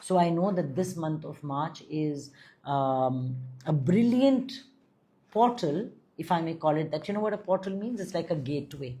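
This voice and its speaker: The voice has a dark, mellow, somewhat breathy tone, with lively intonation at a moderate pace. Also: woman, fairly low pitch for a woman. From India, Delhi. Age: 50s. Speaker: spiritual guide and astrologer. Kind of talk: live stream chat with viewers.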